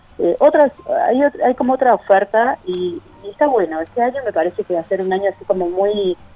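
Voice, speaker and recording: Very wide pitch swings over noticeable background noise. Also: woman. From Uruguay, Cerro Largo (rural northeast). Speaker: art gallery owner. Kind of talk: interview. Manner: halting.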